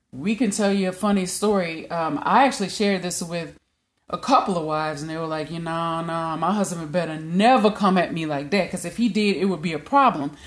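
Ordinary pitch variation marks this voice with a Louisiana accent. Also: woman, fairly low pitch for a woman, fairly quick pace. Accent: Louisiana Southern US. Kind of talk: casual chat.

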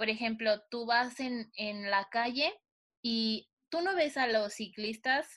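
A woman speaks at a very slow pace in a Mexican accent. Her pitch is fairly high, with ordinary pitch variation. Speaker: podcast co-host. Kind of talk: casual chat.

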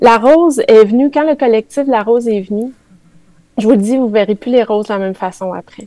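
With a Quebec accent, a woman speaks at a fairly quick pace and fairly high pitch in a dark, mellow tone with ordinary pitch variation. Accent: Québécois French. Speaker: spiritual columnist. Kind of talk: radio chronicle on spirituality. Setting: radio studio with live chat.

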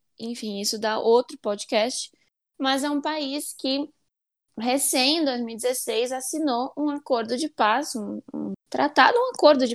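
In a dry, close sound with no echo, a woman with a high voice talks at a fairly slow pace. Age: 20s. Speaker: international relations graduate. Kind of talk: interview.

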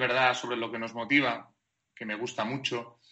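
This is a man's voice. He keeps a moderate pace. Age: 30s. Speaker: basketball sports director. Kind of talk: interview.

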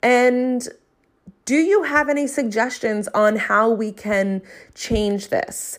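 This woman's voice is high-pitched. She talks at a very slow pace. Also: ordinary pitch variation. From South Jersey. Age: 30s. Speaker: podcast host, entrepreneur and coach. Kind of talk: solo podcast monologue, casual and conversational.

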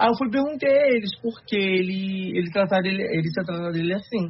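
This man has a high pitch, ordinary pitch variation and a moderate pace. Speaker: digital influencer and model. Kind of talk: podcast conversation. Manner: shy, hesitant.

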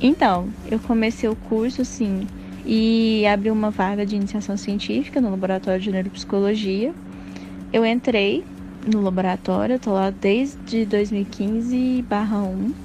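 A woman with an ordinary speaking voice talks at a fairly slow pace, with medium pitch and fairly even intonation. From Minas Gerais, Brazil (Passos, southwest). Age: 20s. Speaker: psychology student. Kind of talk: interview testimony.

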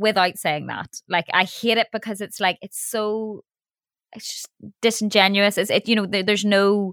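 A woman talks at medium pitch and a moderate pace in a monotone, flat intonation, her loudness swinging widely. The sound is dry and close, with no echo. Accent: Northern Irish. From Northern Ireland. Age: 30s. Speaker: radio broadcaster and DJ. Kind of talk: casual chat.

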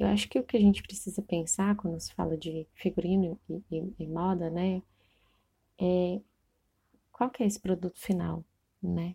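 A woman's somewhat breathy, fairly low voice with a dark, mellow tone, fairly even intonation and long, frequent pauses, the sound dry and close with no echo. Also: moderate pace. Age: 30s. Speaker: costume and set designer. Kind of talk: interview, casual chat.

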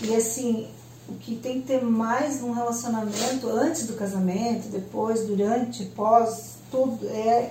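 Very slowly, a woman speaks in a room with audible echo. Noticeable background noise is present. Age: 40s. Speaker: accountant. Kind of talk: interview.

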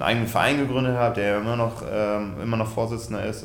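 Audible room echo and noticeable background noise surround this recording. The man speaks in a monotone, flat intonation. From Westfalen, Germany. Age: 30s. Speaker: handball goalkeeper. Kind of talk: casual interview.

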